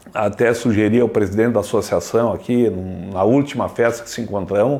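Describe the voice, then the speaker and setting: A man at a medium pitch and fairly quick pace, with fairly even intonation, over noticeable background noise. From Antônio Prado area, Rio Grande do Sul, Brazil. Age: 70s. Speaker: retired trucking company owner. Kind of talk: documentary interview.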